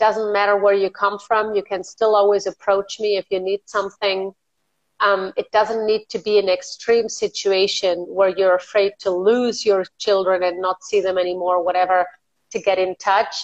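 Fairly slow and monotone, a woman speaks at medium pitch with flat intonation in a dry, close sound with no echo. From Spain. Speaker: life coach. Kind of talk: casual chat. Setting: video call.

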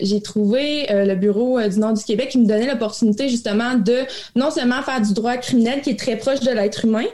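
A woman speaks in a normal speaking voice. Her intonation is fairly even and her pace moderate. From Quebec, Abitibi. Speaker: crown prosecutor. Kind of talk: interview.

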